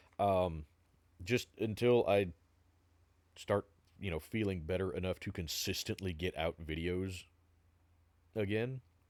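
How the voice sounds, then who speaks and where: A man speaks with a very deep, low pitch and fairly even intonation at a fairly slow pace. The recording is very clean, with a silent background. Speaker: gaming YouTuber. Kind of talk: video outro, casual talk to viewers. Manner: hesitant, filler-heavy.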